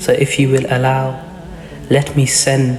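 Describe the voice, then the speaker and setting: A soft-spoken man in a calm tone at a fairly slow pace, with noticeable background noise. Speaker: storyteller / narrator of Islamic history. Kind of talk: soft-spoken Islamic storytelling narration. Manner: soft-spoken, calm.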